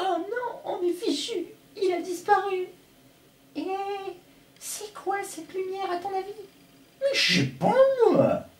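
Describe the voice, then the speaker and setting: Using a whiny, cartoonish character voice, a man speaks at an extremely high pitch and a fairly slow pace, with long, frequent pauses. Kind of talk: impression of a French cartoon dub. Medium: fan dub. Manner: jittery, whiny.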